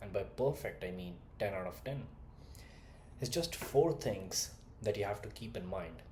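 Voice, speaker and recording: This somewhat breathy voice has a slight Indian accent, ordinary pitch variation, and audible room echo. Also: man. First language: not English (third language). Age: 20s. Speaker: communication skills coach. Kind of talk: motivational talk to camera. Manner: direct, animated.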